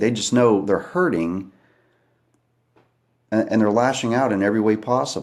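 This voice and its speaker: In a very clean recording with a silent background, a man speaks quietly at a fairly quick pace and a medium pitch. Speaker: livestreamer talking to viewers. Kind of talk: live stream monologue. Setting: at home at night, kids asleep. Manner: quiet, hushed.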